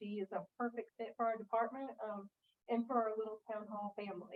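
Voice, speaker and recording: At a moderate pace, a woman with an American accent speaks in a fairly high pitch. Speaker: town planning staff. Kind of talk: public meeting staff report. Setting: council meeting room. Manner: loud.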